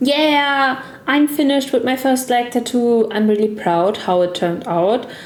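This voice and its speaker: With a German accent, a woman speaks at a fairly slow pace and with lively intonation. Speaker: gaming content creator. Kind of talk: tutorial voice-over. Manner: non-fluent, careful second-language speech.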